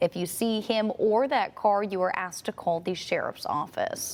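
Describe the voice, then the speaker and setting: This woman has an ordinary speaking voice, fairly high in pitch with ordinary variation. She talks at a moderate pace. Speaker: television news anchor and reporter. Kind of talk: television news anchor delivery. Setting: studio news desk, morning show.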